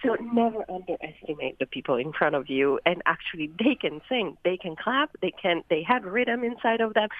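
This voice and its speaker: A woman with an Italian accent, medium pitch and very wide pitch swings at a moderate pace. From Italy, Turin. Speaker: a cappella singer. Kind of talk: recorded interview.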